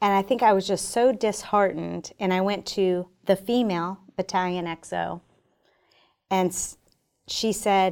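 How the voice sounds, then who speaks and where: A plain, everyday voice at a moderate pace with fairly even intonation comes through on a very clean recording with a silent background. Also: woman. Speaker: army general. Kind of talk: interview. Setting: studio.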